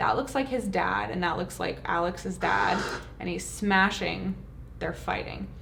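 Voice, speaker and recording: A woman speaks at a fairly slow pace. Audible room echo and noticeable background noise are present. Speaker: YouTuber reacting to trailer. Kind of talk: trailer reaction commentary.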